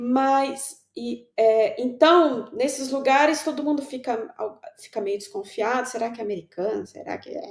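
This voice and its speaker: A woman's high voice at a fairly slow pace, with lively intonation. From São Paulo, Brazil. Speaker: writer. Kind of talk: casual chat.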